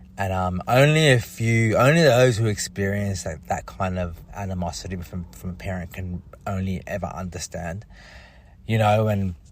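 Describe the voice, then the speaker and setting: A somewhat breathy man with lively intonation at a moderate pace. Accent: Australian. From Australia. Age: 30s. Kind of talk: personal testimony monologue. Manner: halting, many fillers and repetitions.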